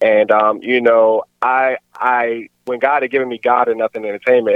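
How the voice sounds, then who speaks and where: This man has an American accent and a normal speaking voice, medium in pitch and moderate in pace. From Maryland, Baltimore area. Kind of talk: casual interview.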